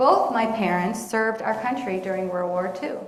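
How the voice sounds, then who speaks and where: Amid noticeable background noise and audible room echo, a woman with an American accent speaks at a moderate pace. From Pittsburgh, Pennsylvania. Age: 60s. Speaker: lay speaker at congregation. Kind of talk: personal testimony talk.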